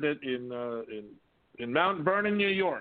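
At a moderate pace, a man with a fairly high pitch talks in a plain, everyday voice. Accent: American. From US West Coast, Whittier, California. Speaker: artist and composer. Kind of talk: interview.

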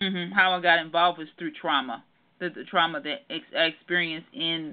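A woman with an American accent has an ordinary speaking voice and a fairly low pitch. Her pitch varies in an ordinary way while her loudness swings widely. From Detroit, Michigan. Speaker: therapist. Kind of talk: interview.

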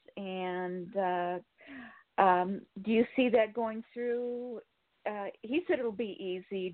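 A woman of medium pitch speaks in an American accent with ordinary pitch variation. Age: 60s. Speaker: caller. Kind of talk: casual chat.

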